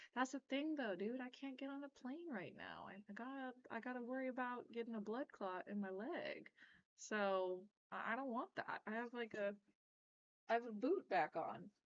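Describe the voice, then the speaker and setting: A woman's high-pitched voice with lively intonation at a moderate pace. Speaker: pinball streamer. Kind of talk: live stream reaction, casual chat. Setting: live stream at home computer. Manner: casual, filler-heavy.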